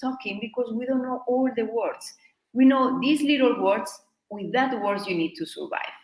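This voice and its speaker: A woman with a high pitch talks at a moderate pace. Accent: Spanish. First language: Spanish. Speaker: Spanish teacher. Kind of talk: online workshop. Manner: halting.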